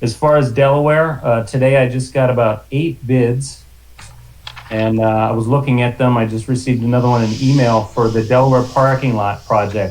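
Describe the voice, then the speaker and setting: A man talks at a moderate pace. His pitch is medium and his intonation fairly even. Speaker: library facilities manager. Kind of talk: committee meeting update. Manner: loud.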